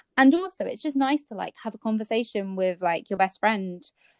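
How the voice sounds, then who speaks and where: A woman's fairly high-pitched, an unremarkable speaking voice with lively intonation and a dry, close sound with no echo. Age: 20s. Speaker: podcast co-host, blogger. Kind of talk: casual chat.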